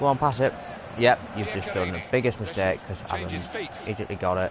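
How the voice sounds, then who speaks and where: Someone with an American accent speaks at a very fast pace and ordinary pitch variation, with noticeable background noise. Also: man. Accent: English, with some American pronunciations. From England. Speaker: gaming video creator. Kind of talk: gameplay commentary. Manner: animated.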